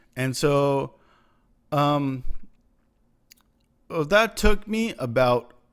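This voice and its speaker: Very slow delivery from a fairly high-pitched man, with very wide pitch swings. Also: long, frequent pauses. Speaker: stroke survivor, recumbent trike rider. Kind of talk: personal video diary narration. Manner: hesitant, halting, many fillers.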